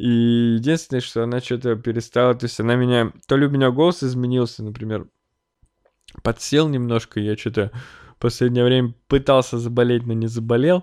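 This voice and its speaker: Captured in a very clean recording with a silent background, a man speaks at a moderate pace in a medium pitch with fairly even intonation. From Russia, Chelyabinsk (Urals). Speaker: podcaster. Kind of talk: casual monologue. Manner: hesitant, many fillers.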